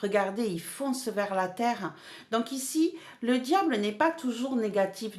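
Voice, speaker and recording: Over noticeable background noise, a woman speaks at a very slow pace. Her pitch is fairly high, with ordinary variation. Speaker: tarot card reader. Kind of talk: tarot reading monologue. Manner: animated; hesitant with fillers and repetitions.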